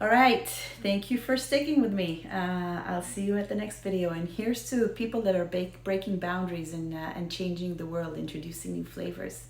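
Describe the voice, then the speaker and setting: Speaking with an American accent, a woman keeps a moderate pace and a medium pitch with ordinary pitch variation and hardly any pauses, amid audible room echo and noticeable background noise. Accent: American Israeli. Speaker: whiskey video host. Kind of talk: casual educational talk to camera. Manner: hesitant, many fillers.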